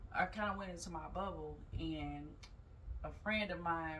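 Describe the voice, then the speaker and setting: A woman's speech carries audible room echo along with noticeable background noise. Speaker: yoga teacher and mental health vlogger. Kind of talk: casual vlog talk.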